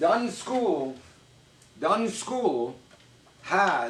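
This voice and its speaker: Speaking with a Persian accent, a man talks at a very slow pace with very wide pitch swings. Background noise is noticeable. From Iran. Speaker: vlogger. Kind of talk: casual storytelling to camera.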